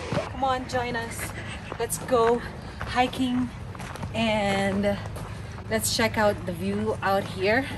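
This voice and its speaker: Long, frequent pauses break up a woman's very slow speech, with noticeable background noise behind her. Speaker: travel vlogger. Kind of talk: casual vlog chat. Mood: cheerful, excited. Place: forest. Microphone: phone near.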